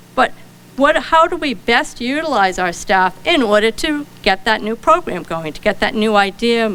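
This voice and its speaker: A woman with a Rhode Island accent, fairly high-pitched, at a moderate pace, with very wide pitch swings. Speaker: librarian. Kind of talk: conference keynote talk.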